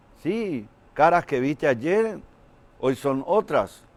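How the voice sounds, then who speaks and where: A man speaks in a Paraguayan accent with lively intonation. His pace is very slow. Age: 60s. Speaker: comedian. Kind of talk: stand-up.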